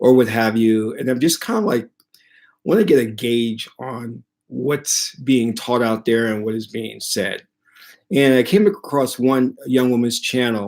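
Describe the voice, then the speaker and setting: A man with a medium pitch and ordinary pitch variation talks at a fairly slow pace. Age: 60s. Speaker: spiritual teacher. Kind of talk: casual talk to camera. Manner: hesitant, many fillers.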